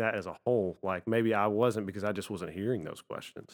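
A man talks in an ordinary speaking voice. His pitch moves in an ordinary way. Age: 20s. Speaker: church youth volunteer. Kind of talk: casual chat.

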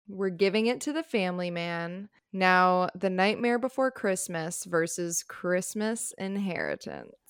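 A woman with an unremarkable speaking voice talks at a fairly slow pace with hardly any pauses. Her pitch is medium, with ordinary variation. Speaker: podcast co-host. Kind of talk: casual chat.

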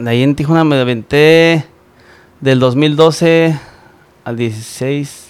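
Using fairly even intonation and a fairly high pitch, a man talks at a very slow pace with long, frequent pauses. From Michoacán, Mexico. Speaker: musician. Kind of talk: casual chat.

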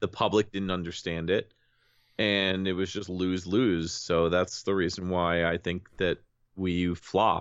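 A man talks with an American accent in a very deep, low voice. The intonation is monotone and flat. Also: fairly slow pace. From Connecticut. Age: 30s. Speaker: YouTuber and podcaster. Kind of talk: casual chat. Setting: podcast recording.

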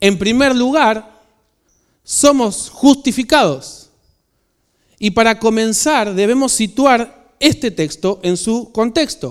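Speaking at a very slow pace, a man uses an extremely high pitch. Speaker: pastor. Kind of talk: sermon.

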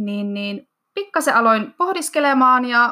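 A woman's raised, projected voice, high-pitched with a bright, sharp tone and very wide pitch swings, at a fairly slow pace on a very clean recording with a silent background. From Finland, Iisalmi (Savo). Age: 20s. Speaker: fitness athlete and cheerleading coach. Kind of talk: interview.

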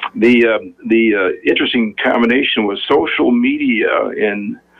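A man with an American accent talks while noticeable background noise carries on. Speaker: bank chief executive. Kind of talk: radio interview.

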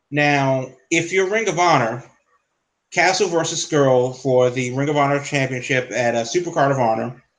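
A man with an ordinary speaking voice, fairly high in pitch, at a moderate pace, with ordinary pitch variation and very even loudness. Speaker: podcast host. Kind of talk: casual chat.

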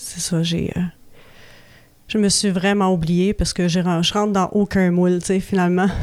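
A woman with a Quebec accent, medium pitch, flat monotone delivery at a moderate pace. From Quebec, Laurentides. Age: 40s. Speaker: recovering alcoholic sharing story. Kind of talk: personal testimony. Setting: radio studio. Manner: halting, many hesitations.

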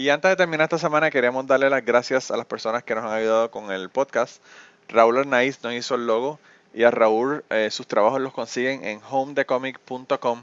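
At a moderate pace and medium pitch, a man speaks in an ordinary speaking voice. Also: ordinary pitch variation. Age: 40s. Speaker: podcast host. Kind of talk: casual chat; scripted outro.

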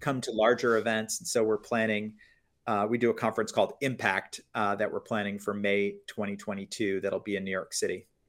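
In a normal speaking voice, a man with an American accent talks fairly quickly at a fairly low pitch, his intonation fairly even. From US, Florida. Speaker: media company founder, former business journalist. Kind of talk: interview. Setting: video call.

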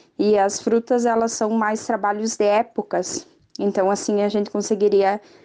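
A woman's dark, mellow voice at a medium pitch, flat and monotone, at a fairly slow pace. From far west of Santa Catarina, Brazil. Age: 20s. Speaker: young farmer. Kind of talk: interview testimony.

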